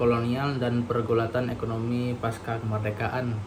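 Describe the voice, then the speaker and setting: Over noticeable background noise and audible room echo, a man speaks with monotone, flat intonation. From Indonesia, Bangka Belitung. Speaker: university student. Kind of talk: reading aloud; lecture. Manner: halting.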